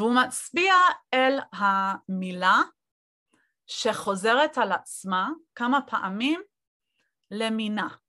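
A woman speaks very slowly in a fairly high voice, with long, frequent pauses. The background is quiet. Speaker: lecturer and scholar. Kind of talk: lecture. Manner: halting, many fillers and repetitions.

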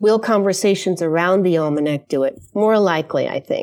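Very clean audio against a silent background, featuring a woman with an American accent. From New York, US. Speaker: artist and designer. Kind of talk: casual chat. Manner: halting.

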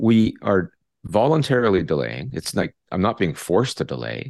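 Over a quiet background, a man with a Canadian accent speaks at a moderate pace in a fairly low pitch, with lively intonation and vocal fry. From Canada. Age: 60s. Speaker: retired psychology professor. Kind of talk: interview. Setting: video call.

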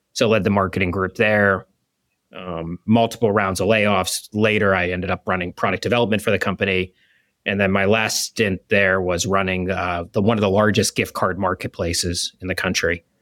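The recording is very clean, with a silent background. A man speaks at a moderate pace in a fairly low pitch with monotone, flat intonation. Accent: American. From Pittsburgh, US. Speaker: restaurant chain executive. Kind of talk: interview.

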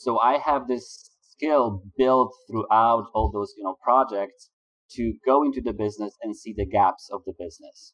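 In a Polish accent, a man speaks at a fairly slow pace. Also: medium pitch for a man, ordinary pitch variation, dry, close sound with no echo. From Poland. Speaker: business consultant for agency owners. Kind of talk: interview.

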